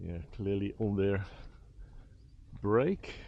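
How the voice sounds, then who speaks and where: A man with a Dutch accent talks at a very slow pace in a very deep, low pitch. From Netherlands, Utrecht. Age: 60s. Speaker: vlogger. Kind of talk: walking vlog narration. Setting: outdoors.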